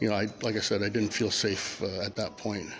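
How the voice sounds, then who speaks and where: At a fairly quick pace, a man with a Canadian accent speaks at a medium pitch over noticeable background noise. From Ontario, Canada (Hamilton, born Sudbury). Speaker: citizen journalist filming public places. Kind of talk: confrontational on-camera conversation with police. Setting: indoors in a public library. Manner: halting, many repeated words.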